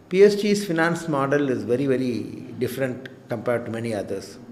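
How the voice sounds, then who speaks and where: A man with an Indian accent speaks at a moderate pace with a fairly high pitch and lively intonation. Audible room echo surrounds his voice. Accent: Indian English (Tamil). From India, rural Tamil Nadu. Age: 60s. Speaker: cardiologist and hospital director. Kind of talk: interview. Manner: hesitant, many fillers.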